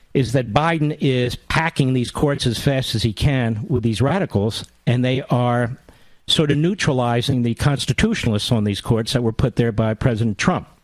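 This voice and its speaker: An ordinary speaking voice with an American accent, moderate pace, ordinary pitch variation and very even loudness, on a very clean recording with a silent background. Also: man, medium pitch for a man. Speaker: radio talk show host. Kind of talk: political talk radio monologue.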